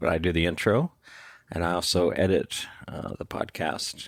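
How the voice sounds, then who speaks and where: In a very clean recording with a silent background, a man speaks at a fairly slow pace with vocal fry and a very deep, low pitch. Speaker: tech company CEO and podcast intro voice. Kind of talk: casual chat; scripted podcast intro.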